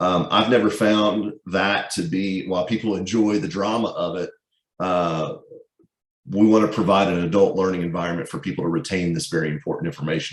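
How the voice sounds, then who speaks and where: Speaking at a fairly quick pace, a man uses lively intonation in a very deep, low voice. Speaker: workplace security trainer. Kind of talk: webinar presentation. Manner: fast.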